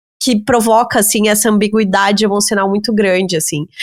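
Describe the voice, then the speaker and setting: With a normal speaking voice, a woman talks at a moderate pace and a fairly high pitch. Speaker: podcast host. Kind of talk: podcast conversation.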